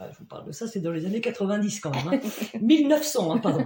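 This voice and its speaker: Here a woman speaks in an unremarkable speaking voice, at a moderate pace and medium pitch. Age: 50s. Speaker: job integration counselor. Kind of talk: casual interview.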